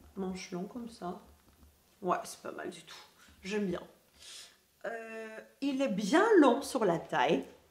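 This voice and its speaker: A woman's fairly high voice at a very slow pace, with long, frequent pauses and big swings in loudness, amid noticeable background noise and audible room echo. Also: lively intonation. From Greece. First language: Greek (speaking French). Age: 20s. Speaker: lifestyle youtuber. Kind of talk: casual haul video chat. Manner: hesitant, many fillers.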